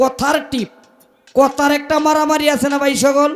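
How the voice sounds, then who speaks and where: Music plays behind a man speaking with a Mymensingh accent. His pitch is extremely high. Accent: Netrokona regional Bengali. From Netrokona, Bangladesh. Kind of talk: colloquial, informal.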